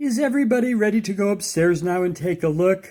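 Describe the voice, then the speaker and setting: The speaker puts on a character voice. The delivery comes at a very fast pace. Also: man. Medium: read story.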